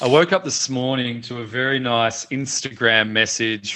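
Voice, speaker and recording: With an Australian accent, a man speaks at medium pitch and a moderate pace with fairly even intonation. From Australia, Melbourne. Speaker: founder of a media website. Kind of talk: interview. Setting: video call.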